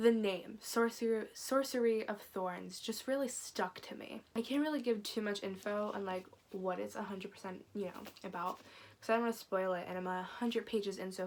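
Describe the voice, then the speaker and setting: A woman's normal speaking voice, medium in pitch, at a fairly quick pace with fairly even intonation. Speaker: book YouTuber. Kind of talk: casual vlog chat.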